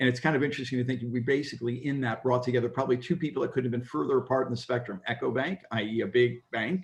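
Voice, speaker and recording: Somewhat breathy, a man talks at a very fast pace. He leaves hardly any pauses. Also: medium pitch for a man, ordinary pitch variation. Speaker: workshop leader at impact investment conference. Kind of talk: conference report-back on video call.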